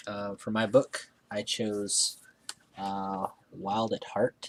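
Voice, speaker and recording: Fairly low pitch from a man, with noticeable background noise behind him. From Alaska (North Pole, interior). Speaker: vlogger. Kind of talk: casual monologue (accent challenge, word list). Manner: hesitant, many fillers (um, uh).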